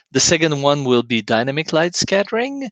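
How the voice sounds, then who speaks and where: Against a quiet background, a man with a French accent is heard in a dry, close sound with no echo. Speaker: scientist. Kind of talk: lecture.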